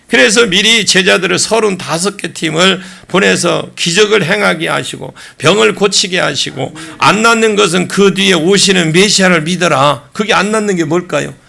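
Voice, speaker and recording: Amid noticeable background noise and audible room echo, a man speaks in a high pitch with an animated tone, ordinary pitch variation and a moderate pace. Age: 60s. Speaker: pastor. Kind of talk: sermon.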